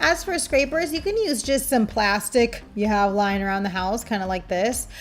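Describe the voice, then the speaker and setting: Lively intonation marks a woman's fairly high-pitched voice at a moderate pace. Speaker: nail art tutorial creator and polish brand owner. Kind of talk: tutorial. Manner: soft-spoken; casual.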